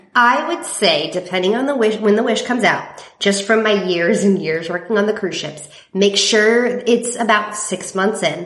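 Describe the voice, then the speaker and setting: An American-accented woman at a moderate pace with ordinary pitch variation, plus audible room echo and noticeable background noise. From California. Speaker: timeshare resale company representative. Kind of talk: casual interview chat.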